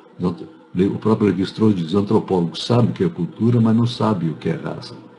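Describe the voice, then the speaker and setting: A man with a fairly low pitch speaks with lively intonation. Noticeable background noise runs underneath. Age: 80s+. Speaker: anthropology professor. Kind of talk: interview answering students' questions. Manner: halting, many false starts.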